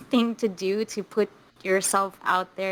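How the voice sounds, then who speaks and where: A monotone voice with flat intonation, spoken in a Filipino accent. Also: woman. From Philippines. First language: Filipino language. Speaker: stand-up comedian. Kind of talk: casual interview chat. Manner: halting, with repeated words.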